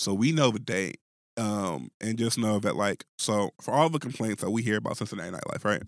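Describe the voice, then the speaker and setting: Lively in intonation, a man with a fairly low pitch and vocal fry is heard in a dry, close sound with no echo. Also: fairly quick pace. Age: 20s. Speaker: podcast host. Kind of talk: casual chat.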